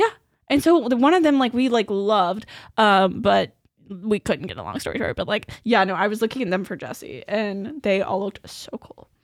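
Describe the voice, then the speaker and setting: A woman speaks at a fairly high pitch with vocal fry and lively intonation. Her loudness swings widely. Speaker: podcast co-host. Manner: fast talker, talks quickly when excited.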